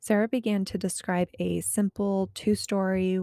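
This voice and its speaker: A woman speaks at a fairly slow pace. The sound is dry and close, with no echo. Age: 30s. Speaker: podcast host. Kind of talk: reading aloud; casual monologue. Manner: conversational.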